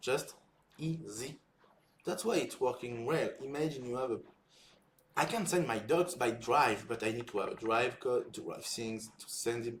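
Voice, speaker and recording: With a French accent, a man talks at a moderate pace and medium pitch, somewhat breathy, with ordinary pitch variation. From France. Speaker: software developer and content creator. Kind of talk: casual live build-in-public talk. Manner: halting.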